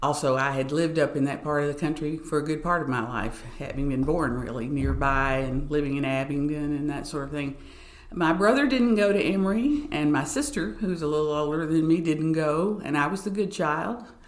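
A woman with an Appalachian accent and a very deep, low pitch, fairly quick with hardly any pauses, ordinary pitch variation, audible room echo and noticeable background noise. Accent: Appalachian Southern US. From Southwest Virginia and East Tennessee. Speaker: arts administrator and pianist. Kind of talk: casual interview.

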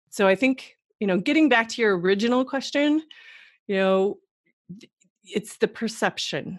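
A woman with a plain, everyday voice speaks at a moderate pace with lively intonation, on a very clean recording with a silent background. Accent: American. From Wisconsin, US Midwest. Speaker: entrepreneur and former model. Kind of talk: interview.

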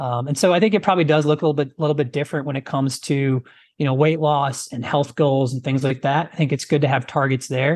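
A man with a US Midwestern accent talks at a very fast pace in a fairly high pitch. His intonation stays fairly even over a quiet background. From rural US Midwest. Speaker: fitness trainer and former physical therapist. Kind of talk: interview.

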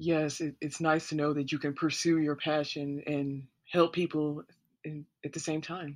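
A moderate pace over a quiet background. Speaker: podcast host. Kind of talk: interview.

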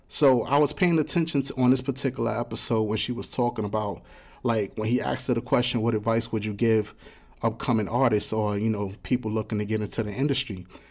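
A man talks at a very fast pace. His medium pitch shows ordinary variation. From New York, South Bronx. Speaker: podcast producer and co-host, rapper. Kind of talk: casual chat. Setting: studio.

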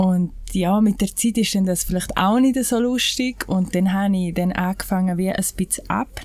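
Speaking with a Graubünden accent, a woman keeps a moderate pace, very even loudness, medium pitch and ordinary pitch variation. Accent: Graubünden Swiss German dialect. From Switzerland, Graubünden (Heinzenberg). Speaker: natural cosmetics maker. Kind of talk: casual interview.

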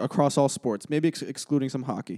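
Dry and close with no echo, this very clean recording with a silent background has a man with an American accent and a fairly high pitch speaking at a fairly quick pace in a dark, mellow tone. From Massachusetts (Brookline, near Boston). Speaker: sports podcast co-host. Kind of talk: casual chat.

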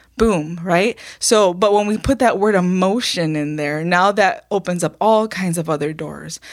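A woman with a normal speaking voice at medium pitch talks at a moderate pace with ordinary pitch variation and hardly any pauses, on a very clean recording with a silent background. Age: 50s. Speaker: pastor and program author. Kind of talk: casual chat.

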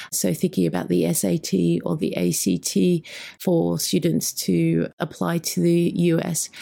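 A woman at a very slow pace and very even loudness, on a very clean recording with a silent background. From Australia. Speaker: school higher education director. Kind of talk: casual interview chat.

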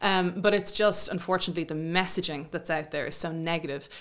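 A woman speaks in an ordinary speaking voice at a fairly low pitch. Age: 40s. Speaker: fertility specialist. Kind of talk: interview.

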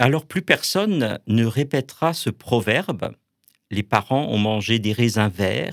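Very slowly, a man speaks in a medium pitch with lively intonation. The sound is dry and close with no echo, in a very clean recording over a silent background. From Alsace, France. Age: 50s. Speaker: Protestant pastor. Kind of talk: radio interview; sermon. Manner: halting.

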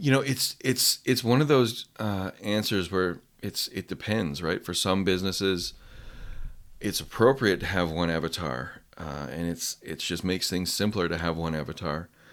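A man with a Canadian accent talks at a moderate pace in a very deep, low pitch, with lively intonation. The recording is very clean, with a silent background. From west coast of Canada. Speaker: copywriting coach. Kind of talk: casual interview. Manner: conversational, hesitant with fillers.

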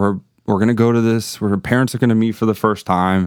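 A man with an American accent, a normal speaking voice at medium pitch, fairly even intonation and a fairly quick pace, on a very clean recording with a silent background. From Miami, Florida. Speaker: police officer. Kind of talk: casual chat.

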